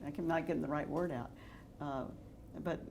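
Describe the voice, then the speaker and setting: A woman with an American accent speaks with fairly even intonation. Her tone is dark and mellow, with audible room echo. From Texas, Dallas. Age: 60s. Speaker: real estate developer. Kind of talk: interview.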